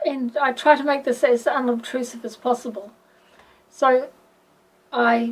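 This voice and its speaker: Fairly slow, fairly even speech in a New Zealand accent. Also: woman. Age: 60s. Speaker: patient. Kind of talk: testimony. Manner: halting.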